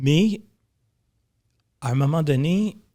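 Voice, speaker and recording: A man's somewhat breathy voice with a Quebec accent and lively intonation, on a very clean recording against a silent background. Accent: Québécois. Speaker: film and advertising producer. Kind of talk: casual chat. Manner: repeats words, hesitant starts.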